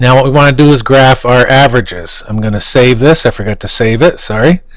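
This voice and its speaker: Very fast speech carries ordinary pitch variation. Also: man, medium pitch for a man. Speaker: statistics instructor. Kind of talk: tutorial. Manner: hesitant with fillers.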